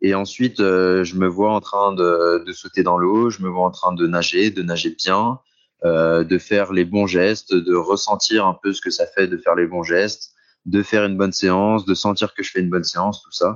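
Very deep and low, a man's voice comes at a moderate pace with monotone, flat intonation. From France, Saint-Étienne. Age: 20s. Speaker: cross triathlete. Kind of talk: interview. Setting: remote call, outdoors.

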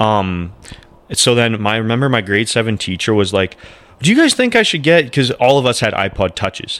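A man at medium pitch and a fairly quick pace, with very even loudness, ordinary pitch variation, and noticeable background noise. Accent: Canadian. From Moose Jaw, Saskatchewan, Canada. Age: 20s. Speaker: podcast co-host and stand-up comedian. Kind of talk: casual chat.

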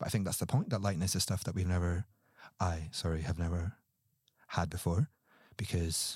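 Speaking at a very fast pace, a man with a very deep, low pitch sounds somewhat breathy in a very clean recording with a silent background and a dry, close sound with no echo. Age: 30s. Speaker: podcast guest. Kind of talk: casual chat.

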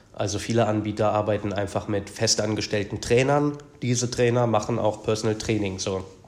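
Against noticeable background noise, a man talks in a fairly low pitch with fairly even intonation. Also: fairly quick pace. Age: 30s. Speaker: personal trainer. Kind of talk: casual chat.

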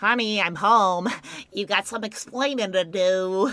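In a put-on character voice that sounds female, the speaker uses a medium pitch and a fairly slow pace.

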